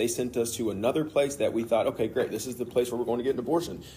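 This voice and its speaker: Talking at a very fast pace, a man sounds somewhat breathy with a dark, mellow tone. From Kentucky. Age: 30s. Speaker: father sharing faith testimony. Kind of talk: testimony.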